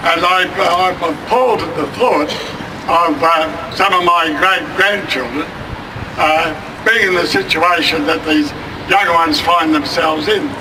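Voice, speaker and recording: Amid noticeable background noise and audible room echo, a man with a high pitch speaks at a fairly slow pace with fairly even intonation. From Australia. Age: old. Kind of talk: protest speech. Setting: outdoor rally. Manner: halting.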